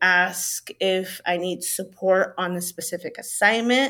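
The recording is very clean, with a silent background. A woman with a Spanish accent speaks at medium pitch with ordinary variation. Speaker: middle school teacher. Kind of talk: casual interview chat.

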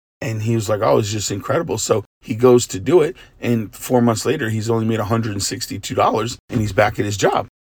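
With hardly any pauses, a man talks at a very fast pace in a somewhat breathy, medium-pitched voice with ordinary pitch variation. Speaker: pastor. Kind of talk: devotional talk.

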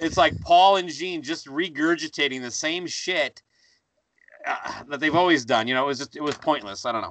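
Speaking at a moderate pace, a man has an unremarkable speaking voice, a fairly high pitch and ordinary pitch variation. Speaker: podcaster. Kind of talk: casual chat.

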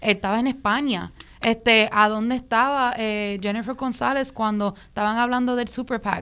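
This woman's fairly high voice has a bright, sharp tone. She talks at a moderate pace with fairly even intonation. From New York Puerto Rican diaspora (Williamsburg, Brooklyn). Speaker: activist campaign leader. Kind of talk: panel discussion.

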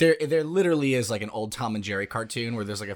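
In a very clean recording with a silent background, a man sounds animated, with ordinary pitch variation. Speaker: guest listener, partner of host. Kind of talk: casual chat, joking. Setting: home during quarantine. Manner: animated, jokey.

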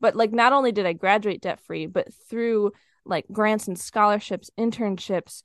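A woman with an unremarkable speaking voice talks at a medium pitch with ordinary pitch variation. The sound is dry and close with no echo, over a quiet background. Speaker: podcaster and money coach for students. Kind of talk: interview conversation.

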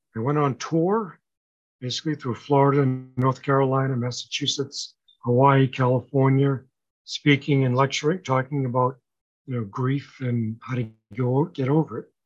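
At a moderate pace, a man speaks at a medium pitch with fairly even intonation. He has a plain, everyday voice. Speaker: author and grief speaker. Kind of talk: interview chat.

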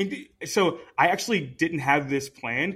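A man's fairly high-pitched voice, bright and sharp in tone, with ordinary pitch variation. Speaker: podcast host. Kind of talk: casual chat.

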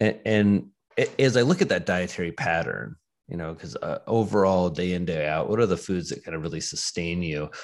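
A man with a very deep, low pitch speaks at a fairly quick pace in a very clean recording with a silent background. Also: ordinary pitch variation. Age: 40s. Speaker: psychiatrist. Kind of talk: interview conversation.

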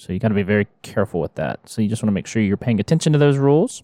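A man with a normal speaking voice talks at a fairly low pitch with ordinary pitch variation. The recording is very clean and dry, with a silent background and no echo. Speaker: financial advisor host. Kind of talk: casual chat.

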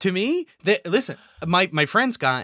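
A man with an American accent speaks in a high, bright, sharp voice, raised and projected. His pitch swings very widely in a very clean recording with a silent background. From Southern California. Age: 30s. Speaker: podcast guest. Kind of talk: casual chat. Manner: halting.

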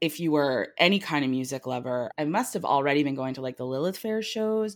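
A woman with an American accent speaks at a very deep, low pitch with lively intonation. The recording is very clean, with a silent background. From New Jersey. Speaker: television producer. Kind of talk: casual chat. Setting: apartment, on location.

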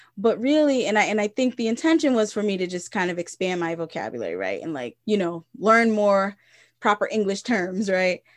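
Against a quiet background, a woman of medium pitch speaks at a fairly quick pace with lively intonation. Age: 30s. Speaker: therapist, podcast co-host. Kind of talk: casual chat. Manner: halting, many repeated words.

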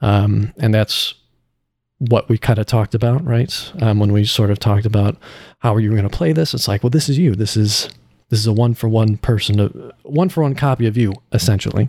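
A man speaks with an American accent at a fairly quick pace. His tone is dark and mellow, and somewhat breathy. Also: medium pitch for a man, ordinary pitch variation, dry, close sound with no echo. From Illinois, US Midwest. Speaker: voice actor. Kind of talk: casual interview. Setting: video call.

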